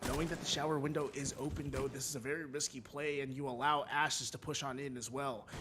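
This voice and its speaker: A man talks very fast in an animated tone at a fairly high pitch, with hardly any pauses. Background noise is noticeable. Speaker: esports caster. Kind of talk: live commentary.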